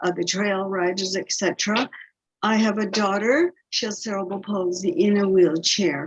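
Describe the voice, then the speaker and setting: Somewhat breathy, a woman speaks at medium pitch and a moderate pace with fairly even intonation. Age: 70s. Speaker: parent caregiver. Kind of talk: panel Q&A on video call. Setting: video call.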